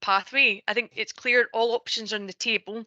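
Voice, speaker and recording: A woman with a Scottish accent talks in a fairly high, bright and sharp voice with flat, monotone intonation. The sound is dry and close with no echo, over a quiet background. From Scotland, Ayrshire. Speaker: energy sector panelist. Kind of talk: online panel discussion.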